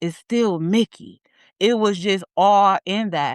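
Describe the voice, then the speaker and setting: Speaking at a fairly slow pace with an American accent, a woman at medium pitch sounds animated in a dry, close recording with no echo and a quiet background. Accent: inner-city accent, talks hoodish at times. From US inner city. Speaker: therapist and coach. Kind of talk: interview conversation.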